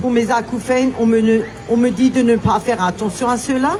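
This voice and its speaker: Noticeable background noise sits behind a woman talking at a fairly high pitch and a moderate pace. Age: 60s. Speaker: vaccine injury victim giving testimony. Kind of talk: testimony. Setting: outdoor demonstration, public address. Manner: reading a prepared statement.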